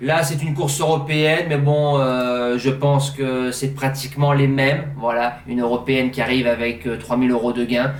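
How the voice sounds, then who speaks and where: A man speaks at a moderate pace with fairly even intonation and a fairly high pitch, with audible room echo and noticeable background noise. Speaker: horse racing tipster. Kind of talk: betting tips monologue. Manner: casual, hesitant fillers.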